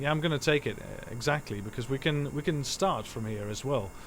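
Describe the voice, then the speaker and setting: A man with a Dutch accent, medium pitch and ordinary pitch variation, speaking at a fairly quick pace. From Netherlands. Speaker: gaming streamer. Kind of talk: live gameplay commentary. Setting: live stream. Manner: halting, many fillers.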